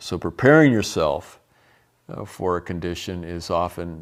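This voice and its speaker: A man speaks at a fairly slow pace in a very deep, low voice, recorded very cleanly against a silent background. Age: 60s. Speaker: health educator. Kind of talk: testimony; lecture. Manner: halting.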